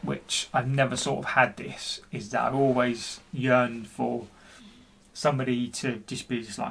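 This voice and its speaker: This man's voice sits at a medium pitch. It is somewhat breathy. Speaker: person who stammers. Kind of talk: personal video blog.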